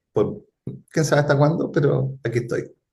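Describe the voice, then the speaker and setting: A man with a Chilean accent speaks in a somewhat breathy voice. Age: 50s. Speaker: futurist and consultant. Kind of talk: interview conversation.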